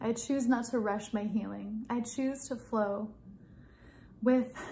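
A soft-spoken woman talks at a fairly slow pace with a fairly high pitch and a somewhat breathy, dark, mellow tone. Her gentle tone stays in a monotone, flat intonation. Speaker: spiritual content creator leading prayer. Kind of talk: guided prayer and meditation, fervent and devotional in the final stretch. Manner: soft-spoken, gentle and heartfelt, slow and tender, pleading. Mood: calm, soft, devotional. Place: home room. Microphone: phone near.

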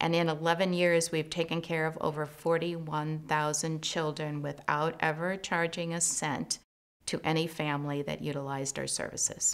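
With an American accent, a woman speaks in a very deep, low pitch and a monotone, flat intonation. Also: moderate pace. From US Midwest, Chicago suburbs; Illinois. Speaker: community leader. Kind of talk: interview. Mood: calm, proud. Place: studio.

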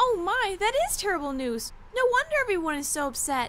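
This woman's pitch is extremely high, with very wide swings up and down. Background noise is clearly heard. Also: fairly quick pace.

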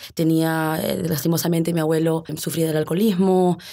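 This woman talks at a fairly quick pace in a fairly low pitch, her tone dark and mellow and her intonation flat and monotone. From US, Arlington, Virginia, Peruvian parents. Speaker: lawyer and former state legislator. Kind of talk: interview. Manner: halting, many fillers and repetitions.

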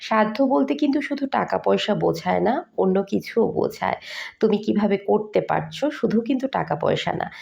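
The voice sounds strained. Its loudness stays very even. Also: woman. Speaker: vlogger. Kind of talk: vlog narration. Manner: strained, effortful speech.

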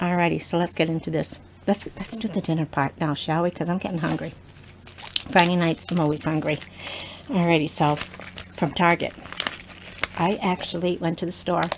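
Over noticeable background noise, a woman with a fairly low pitch and fairly even intonation speaks at a moderate pace with long, frequent pauses. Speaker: wine vlogger. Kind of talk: casual vlog chat. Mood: cheerful, relaxed. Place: home room. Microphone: webcam.

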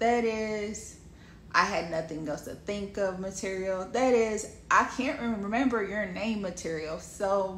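Fairly slow speech from a woman with ordinary pitch variation, audible room echo and light background noise. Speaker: wellness coach and speaker. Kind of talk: casual advice talk to camera. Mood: playful, sassy, smiling. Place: home room. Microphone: phone near.

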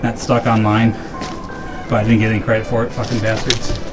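Over clear background music, the man delivers his words fairly quickly. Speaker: urban explorer host. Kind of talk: casual vlog chat. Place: open country. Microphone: phone near.

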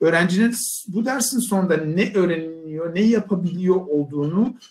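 Fairly slow delivery with ordinary pitch variation. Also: man. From Turkey. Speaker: university professor. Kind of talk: presentation. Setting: video call. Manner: hesitant, many fillers. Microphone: video call.

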